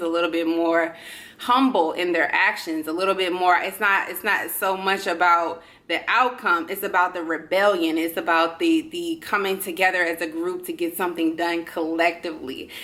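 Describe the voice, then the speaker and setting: Animated and bright with a sharp tone, a woman talks at a moderate pace and medium pitch. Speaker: astrology reader. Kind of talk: tarot and astrology reading monologue.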